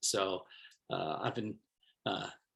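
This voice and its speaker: A man with an American accent speaks at a fairly slow pace. His tone is bright and sharp. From Brooklyn, New York City (Bensonhurst). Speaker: professor. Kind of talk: self-introduction at online faculty meet and greet. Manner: frequent fillers and hesitations.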